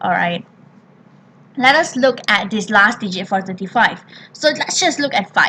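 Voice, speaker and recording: A woman speaks at a fairly high pitch, pausing long and often. Noticeable background noise runs under her voice. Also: lively intonation, moderate pace. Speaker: primary school maths teacher. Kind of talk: tutorial.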